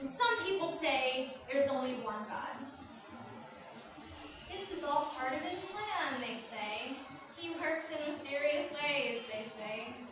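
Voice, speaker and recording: Noticeable background noise runs behind a woman with high pitch and very wide pitch swings who talks at a very slow pace with long, frequent pauses. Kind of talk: spoken word poetry performance. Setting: live event. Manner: emotional, grieving.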